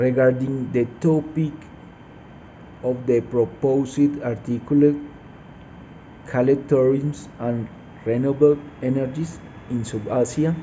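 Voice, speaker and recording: With a Spanish accent, the speaker talks at a very slow pace with fairly even intonation and long, frequent pauses. Noticeable background noise runs underneath. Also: man, medium pitch for a man. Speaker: mining engineer student. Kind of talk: class assignment presentation. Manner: halting, hesitant with fillers.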